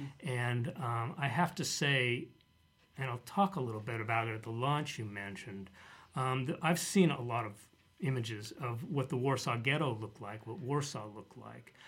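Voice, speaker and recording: A man with an American accent, an ordinary speaking voice at medium pitch, ordinary pitch variation, a moderate pace and big swings in loudness. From US, Denver, Colorado. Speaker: author. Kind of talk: casual chat.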